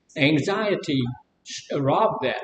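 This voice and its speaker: A very slow pace in a Mississippi accent, with audible room echo. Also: man. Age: 70s. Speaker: live stream host. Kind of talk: casual chat.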